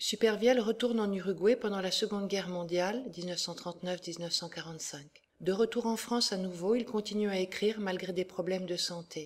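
Someone talks at a fairly slow pace in an ordinary speaking voice. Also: woman. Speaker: educational presenter. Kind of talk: audiobook-style literary reading of a novel extract, after a lecture-like presentation. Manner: measured, steady and expressive, with even literary diction; clear and formal, like a teacher.

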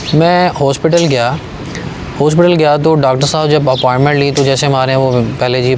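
A man at a moderate pace with little pitch movement, over clear background noise

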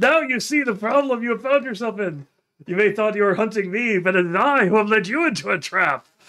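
A man uses a put-on character voice, high in pitch. He speaks at a fairly quick pace. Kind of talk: formal, theatrical. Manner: cackling, gloating, sinister.

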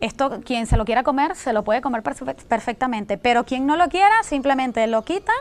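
A woman with a high pitch, lively intonation, a fairly quick pace and hardly any pauses. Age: young. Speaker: pastry chef; guest. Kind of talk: cooking demonstration. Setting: TV studio. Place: studio. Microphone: lapel.

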